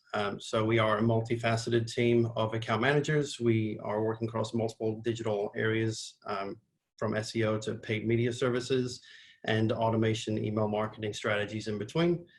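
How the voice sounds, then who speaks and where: A somewhat breathy man's voice at a medium pitch, with monotone, flat intonation and a fairly quick pace. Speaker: marketing agency head, webinar presenter. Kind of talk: webinar presentation. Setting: video call. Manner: casual with fillers.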